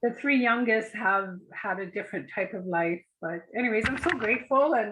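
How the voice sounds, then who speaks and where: A woman with a fairly high pitch and a bright, sharp tone speaks at a moderate pace with lively intonation. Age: 60s. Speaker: art course participant. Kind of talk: casual chat.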